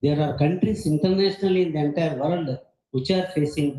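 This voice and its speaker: His tone is dark and mellow, and somewhat breathy. This man's pitch sits fairly high. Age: 70s. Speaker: retired geophysicist, conference speaker. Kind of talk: conference talk.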